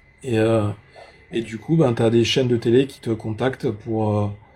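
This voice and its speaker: A man with monotone, flat intonation. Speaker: UFO content creator. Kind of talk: live stream conversation. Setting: live stream. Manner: hesitant, many fillers.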